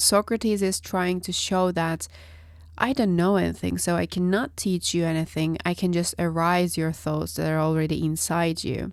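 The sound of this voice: A woman with a nasal, fairly low voice speaks at a moderate pace with fairly even intonation on a very clean recording with a silent background.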